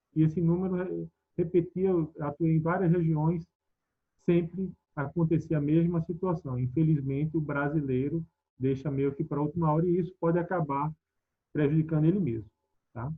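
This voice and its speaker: In a Pernambuco accent, a man with a fairly high pitch speaks at a moderate pace, keeping his intonation fairly even and leaving long, frequent pauses. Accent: Pernambuco accent, noticeable. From Pernambuco, northeast Brazil. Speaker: tax expert speaker. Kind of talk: webinar lecture. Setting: online webinar. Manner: conversational, with fillers.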